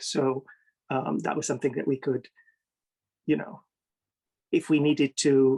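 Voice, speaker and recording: A man with an American accent and a fairly high pitch, fairly quick and fairly even in intonation, with vocal fry, in dry, close sound with no echo. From United States. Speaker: literary translator. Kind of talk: interview conversation. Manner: hesitant, many fillers.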